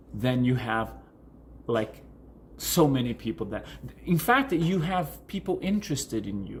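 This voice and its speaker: Somewhat breathy and fairly high-pitched, a man speaks fairly slowly with a Portuguese accent and very wide pitch swings. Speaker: coach. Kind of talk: vlog tutorial answering viewer questions. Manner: halting, many fillers and restarts.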